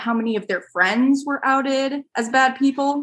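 The woman's voice has a bright, sharp tone. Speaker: podcast host. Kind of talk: podcast interview, casual chat.

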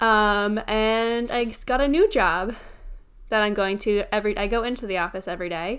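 The recording is very clean, with a silent background. An unremarkable speaking voice moves at a moderate pace with ordinary pitch variation. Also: woman, fairly high pitch for a woman. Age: 20s. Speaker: podcast co-host. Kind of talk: casual chat.

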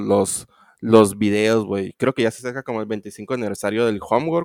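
On a very clean recording with a silent background and dry, close sound with no echo, a man speaks at a moderate pace and medium pitch with ordinary pitch variation. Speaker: podcast co-host. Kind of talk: casual chat. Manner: halting, many fillers.

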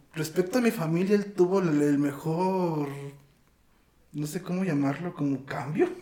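Over noticeable background noise, a man with a high pitch and ordinary pitch variation speaks at a fairly slow pace with long, frequent pauses. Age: 20s. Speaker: interview guest. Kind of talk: casual conversation.

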